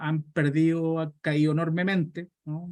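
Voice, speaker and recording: Here a man talks with a Chilean accent. His pitch is fairly high. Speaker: pension economist. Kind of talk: Q&A answer in online talk.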